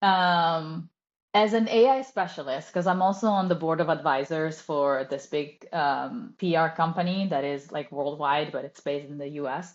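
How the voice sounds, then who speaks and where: A woman speaks in an Italian accent at a moderate pace. Her pitch is fairly low. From Italy. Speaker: copywriter. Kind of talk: casual chat.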